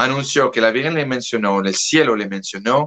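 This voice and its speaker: Dry and close with no echo, a man's medium-pitched voice carries a bright, sharp tone and ordinary pitch variation at a fairly slow pace. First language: French (speaking Spanish). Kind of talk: interview. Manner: halting, with self-corrections.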